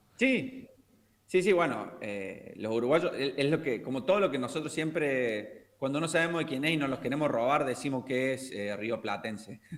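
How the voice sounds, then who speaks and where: A man's ordinary speaking voice, fairly high in pitch, at a moderate pace with lively intonation. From Argentina, Córdoba. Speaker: language teacher. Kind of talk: casual chat.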